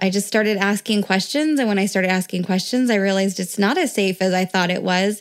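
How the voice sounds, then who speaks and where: The recording is very clean with a silent background, and a woman speaks at a fairly quick pace. She has an ordinary speaking voice, a medium pitch and ordinary pitch variation. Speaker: wife of a border patrol agent. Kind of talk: interview.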